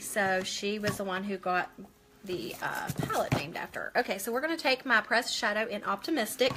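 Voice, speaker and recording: Noticeable background noise behind a woman's voice. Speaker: makeup seller doing a live stream. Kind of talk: casual get-ready-with-me live stream. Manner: loud.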